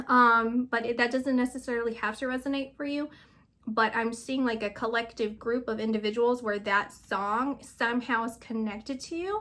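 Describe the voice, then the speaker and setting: Very clean with a silent background, the recording features a woman with a fairly high pitch and a bright, sharp tone. She speaks at a moderate pace with fairly even intonation. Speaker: psychic reader. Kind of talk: channeled reading and casual chat.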